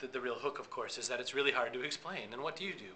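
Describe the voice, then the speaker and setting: There's noticeable background noise as a man with an American accent speaks at a medium pitch. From USA. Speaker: social media consultant. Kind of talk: interview. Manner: fast.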